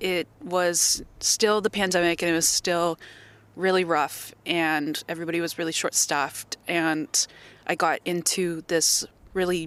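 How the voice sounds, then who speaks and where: In a Canadian accent, a woman talks at a fairly low pitch with monotone, flat intonation, the sound dry and close with no echo. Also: very clean recording, silent background. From Canada. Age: 20s. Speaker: sailing ship deckhand. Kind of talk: interview.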